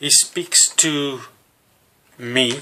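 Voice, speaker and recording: Speaking with a South African accent, a man uses a medium pitch and ordinary pitch variation. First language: Afrikaans. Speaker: religious teacher. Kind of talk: teaching sermon to camera. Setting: alone talking to a camera. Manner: halting with fillers.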